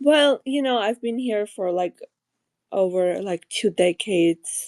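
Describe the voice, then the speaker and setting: A woman with an Armenian accent, in a dry, close recording with no echo. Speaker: caller. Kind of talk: call-in question. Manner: hesitant, many fillers.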